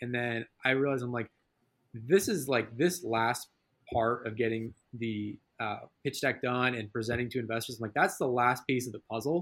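A man with an ordinary speaking voice and a medium pitch talks at a moderate pace with ordinary pitch variation, in a very clean recording with a silent background. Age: 20s. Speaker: entrepreneur, recent college graduate. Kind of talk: casual interview.

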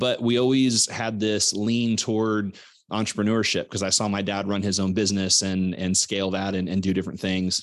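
With an American accent, this normal speaking voice moves at a moderate pace with hardly any pauses and fairly even intonation. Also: man, fairly low pitch for a man. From US Midwest, Southwest Missouri. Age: 40s. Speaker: business coach and podcaster. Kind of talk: interview conversation. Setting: call.

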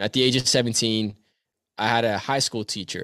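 A man with a plain, everyday voice and a Canadian accent, medium pitch, moderate pace, dry, close sound with no echo, very clean recording and silent background. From Canada. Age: 20s. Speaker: motivational speaker. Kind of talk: casual interview.

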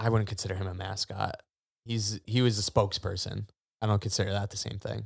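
Somewhat breathy and fairly low, a man's voice moves at a fairly quick pace with monotone, flat intonation. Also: very clean recording, silent background. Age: 20s. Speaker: podcast co-host, daycare worker. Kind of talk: casual chat.

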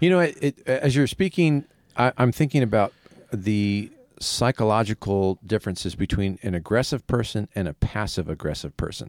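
In a dry, close sound with no echo, a man with a fairly low pitch and an ordinary speaking voice talks with lively intonation. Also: moderate pace. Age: 50s. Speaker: pastor and podcast co-host. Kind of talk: casual chat.

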